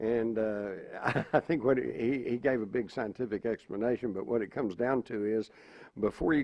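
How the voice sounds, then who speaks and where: Man with an American accent, a normal speaking voice, medium pitch, ordinary pitch variation and a moderate pace. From Texas. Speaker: conspiracy panelist. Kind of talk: panel discussion.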